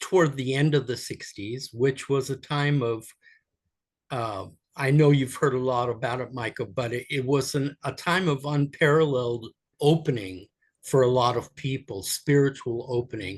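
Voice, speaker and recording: At a moderate pace, a man speaks in a somewhat breathy voice at medium pitch with ordinary pitch variation. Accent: American. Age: 70s. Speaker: spiritual teacher. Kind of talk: podcast interview. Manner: halting.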